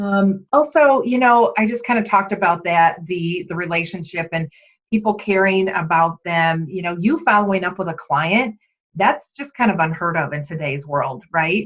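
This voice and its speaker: A plain, everyday voice from a woman, medium-pitched, at a moderate pace with lively intonation. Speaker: direct sales team leader. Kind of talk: training talk. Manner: casual, chatty.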